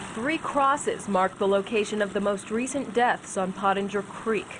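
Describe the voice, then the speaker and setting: A woman at medium pitch speaks at a moderate pace with ordinary pitch variation and very even loudness. Noticeable background noise is present. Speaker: TV news reporter and anchor. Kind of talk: investigative news package narration.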